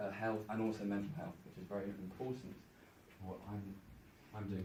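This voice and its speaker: Audible room echo and noticeable background noise surround a man's fairly low-pitched voice. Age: 20s. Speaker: conference speaker, university student. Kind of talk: conference presentation. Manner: halting with stuttering repetitions.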